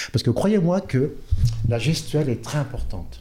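The voice has a dark, mellow tone, is somewhat breathy and moves at a moderate pace. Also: man. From France, Orléans. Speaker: football coach. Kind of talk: interview.

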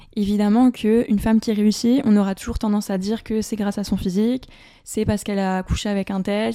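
At a very fast pace, a woman with a fairly high pitch and a dark, mellow tone speaks in a monotone, flat way. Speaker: business podcaster. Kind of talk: unscripted solo podcast.

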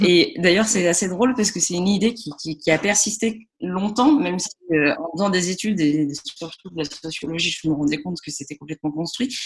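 A woman's voice at medium pitch and a fairly quick pace. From France, Lyon. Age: 30s. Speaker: music and contemporary art project manager. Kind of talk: interview. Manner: hesitant, many fillers and repetitions.

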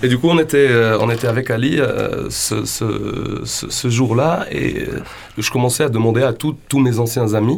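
Fairly slow male speech at medium pitch, ordinary in its pitch variation, against noticeable background noise. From western Algeria. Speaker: band singer. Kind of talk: radio interview. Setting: radio studio. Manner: halting.

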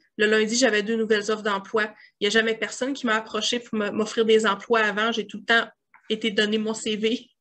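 A woman talks at a fairly quick pace in a bright, sharp tone. Her fairly high voice stays monotone and flat. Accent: Quebec. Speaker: grant consultant. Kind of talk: interview.

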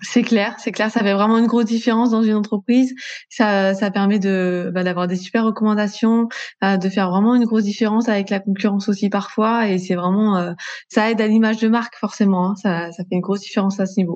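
At a fairly quick pace, a woman with a medium pitch speaks in a flat, monotone way against a quiet background. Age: 30s. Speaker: entrepreneur, customer care manager. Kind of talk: casual interview chat.

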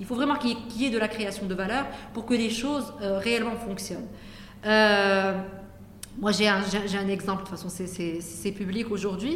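A woman with ordinary pitch variation and long, frequent pauses, in audible room echo. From Morocco, Casablanca. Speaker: venture capital fund executive. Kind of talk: interview conversation. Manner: hesitant with many fillers.

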